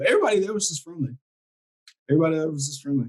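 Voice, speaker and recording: A man talks with an American accent. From US South, Alabama. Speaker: amateur motorcycle filmmaker. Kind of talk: casual chat.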